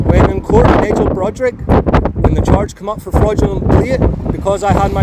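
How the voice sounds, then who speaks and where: A man talks with a Northern Irish accent. Noticeable background noise and audible room echo come through. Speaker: sovereign citizen motorist. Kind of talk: roadside argument with police. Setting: outdoors by a road. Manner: loud.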